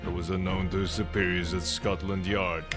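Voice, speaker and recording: A man's put-on character voice over loud music in the background. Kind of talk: game playthrough voicing characters. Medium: role play.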